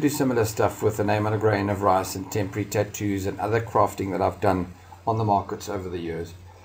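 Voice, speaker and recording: A somewhat breathy, fairly low male voice with a South African accent at a very fast pace. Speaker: crafter and video host. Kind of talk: casual narrated market tour. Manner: casual, hesitant with fillers.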